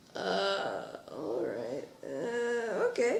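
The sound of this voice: At a very slow pace, a put-on character voice uses vocal fry and big pitch swings. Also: woman, medium pitch for a woman.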